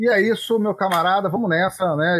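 A man at a fairly quick pace. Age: 30s. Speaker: football podcast co-host. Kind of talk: casual chat.

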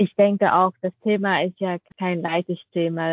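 A woman talks fairly slowly at medium pitch with monotone, flat intonation. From Vietnam. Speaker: podcast co-host. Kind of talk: interview. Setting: video call.

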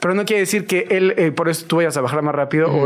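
A man talks at a very fast pace with fairly high pitch. Noticeable background noise runs under his voice. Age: 40s. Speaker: fitness trainer. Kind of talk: casual interview.

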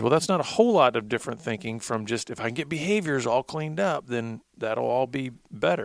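In a very clean recording with a silent background, a man speaks at a moderate pace. He has an unremarkable speaking voice, medium in pitch, with lively intonation. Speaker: radio host. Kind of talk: casual chat.

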